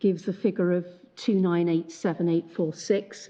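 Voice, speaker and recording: This woman speaks at a medium pitch. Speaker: barrister. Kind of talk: court submission. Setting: courtroom. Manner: halting; mumbling. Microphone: muffled by face mask.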